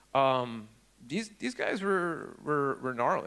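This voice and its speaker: A man speaks in a fairly high voice at a fairly slow pace. The recording is very clean, the background silent. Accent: New York. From upstate New York. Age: 40s. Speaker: security researcher, conference speaker. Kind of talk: conference talk. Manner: casual, halting with many fillers.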